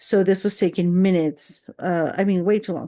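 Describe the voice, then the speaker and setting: In a quiet background, a woman speaks at a moderate pace with a medium pitch and a dark, mellow tone. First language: not English. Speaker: content creator. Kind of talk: casual rant vlog. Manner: rambling with many fillers.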